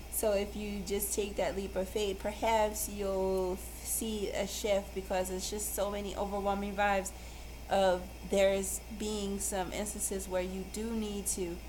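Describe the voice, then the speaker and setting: Noticeable background noise and audible room echo fill the recording. Through them a woman talks fairly slowly. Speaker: tarot reader. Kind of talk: tarot card reading. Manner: halting.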